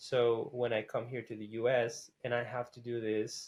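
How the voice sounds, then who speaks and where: A male speaker, with a Spanish accent. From Costa Rica. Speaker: graphic artist. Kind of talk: interview. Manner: casual, with many fillers.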